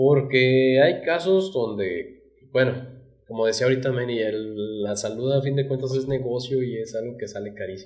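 With a Mexican accent, a somewhat breathy man speaks at a moderate pace and ordinary pitch variation against a quiet background. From Mexico. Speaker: podcast co-host. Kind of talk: casual chat. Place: studio. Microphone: studio mic.

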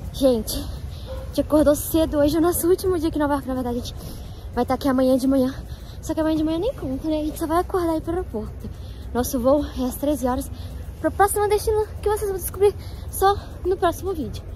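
Against light background noise, a woman talks very fast at a high pitch in a dry sound with no echo. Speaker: travel vlogger. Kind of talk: casual vlog chat. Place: open country. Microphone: phone near.

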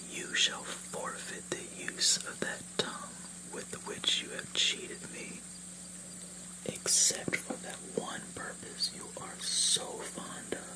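Whispering, a man speaks at a very slow pace. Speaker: storyteller. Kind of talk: reading a myth aloud. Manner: soft hushed voice for the goddess's sentence.

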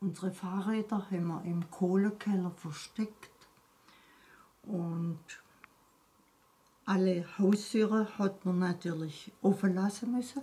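At a very slow pace with long, frequent pauses, a woman speaks with fairly even intonation. Her tone is dark and mellow, and somewhat breathy. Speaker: wartime eyewitness. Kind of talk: interview answer. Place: home room. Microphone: phone near.

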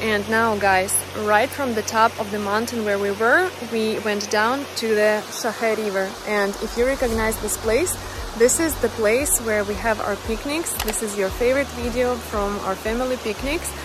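The speech moves at a moderate pace with ordinary pitch variation. The sound is dry with no echo, though background noise is noticeable. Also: woman. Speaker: travel vlogger. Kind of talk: casual vlog chat. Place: waterside. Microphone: phone near.

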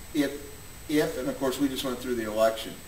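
A man is speaking, with audible room echo. Light background noise is present. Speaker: interviewee. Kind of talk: interview answer. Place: home room. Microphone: camera far.

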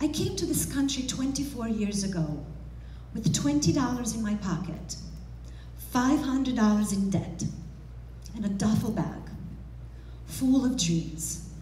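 A woman with a Romanian accent talks over light background noise, with audible room echo. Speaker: motivational speaker. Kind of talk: motivational speech. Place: hall. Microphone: headset.

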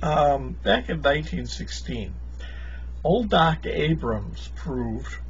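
The speaker's flat monotone comes through over light background noise. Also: man. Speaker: vlogger telling a story. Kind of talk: casual vlog chat. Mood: amused, laughing at times. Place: home room. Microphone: webcam.

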